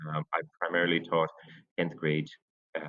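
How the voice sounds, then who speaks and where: With an Irish accent, a man speaks in a very deep, low voice at a moderate pace. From Ireland (Cork area). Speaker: science teacher. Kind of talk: teacher introduction to parents. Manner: hesitant, many fillers.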